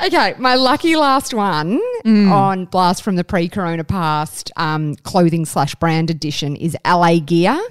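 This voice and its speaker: A woman with an Australian accent, fairly low-pitched, at a fairly slow pace with hardly any pauses and lively intonation, on a very clean recording with a silent background. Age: 30s. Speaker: podcast co-host. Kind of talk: casual chat.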